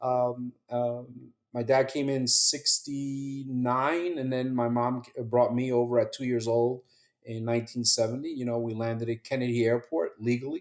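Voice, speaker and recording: With music in the background, the speaker talks at a moderate pace in monotone, flat intonation, with hardly any pauses. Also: man, medium pitch for a man. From New Jersey, Hackensack. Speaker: retired police officer, 9/11 survivor. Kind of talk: interview.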